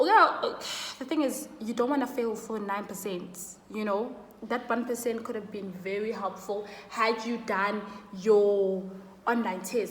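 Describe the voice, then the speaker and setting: Amid noticeable background noise and audible room echo, a woman with a Zulu accent speaks at a fairly slow pace and a fairly high pitch with fairly even intonation. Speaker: student YouTuber. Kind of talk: casual vlog advice.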